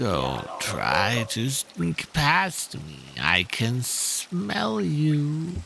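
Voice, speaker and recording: A man puts on a character voice at medium pitch, with very wide pitch swings. He speaks at a very slow pace with hardly any pauses, over clear background noise. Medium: actual play.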